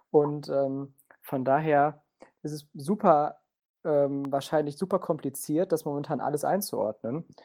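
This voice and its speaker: A man's fairly high yet dark, mellow voice at a fairly slow pace, fairly even in intonation, in a very clean recording with a silent background. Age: 20s. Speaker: political science student and football fan. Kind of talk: casual football discussion.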